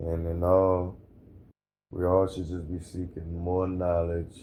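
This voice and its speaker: Speaking very slowly in a calm tone, a man with an American accent has a very deep, low pitch, a dark, mellow tone and monotone, flat intonation, with audible room echo. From Louisiana, New Orleans area. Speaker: hurricane survivor, former Marine. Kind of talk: interview testimony.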